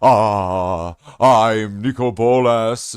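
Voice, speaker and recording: A man's strained, put-on character voice at a medium pitch. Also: very clean recording, silent background. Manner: strained, grunting, mock-ominous.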